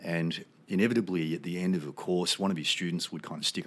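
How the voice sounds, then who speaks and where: In an Australian accent, a man speaks with a very deep, low pitch and fairly even intonation. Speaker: military veteran and psychedelic research advocate. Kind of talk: casual interview conversation.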